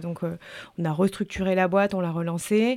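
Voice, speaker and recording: With a normal speaking voice, a woman talks at a fairly quick pace, her pitch fairly low and her intonation fairly even. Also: very clean recording, silent background. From French Alps. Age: 30s. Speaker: journalist and author. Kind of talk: interview.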